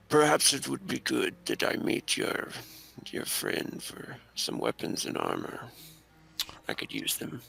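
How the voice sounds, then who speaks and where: A man puts on a raspy character voice. He goes at a fairly slow pace with long, frequent pauses. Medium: actual play. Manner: terse, clipped.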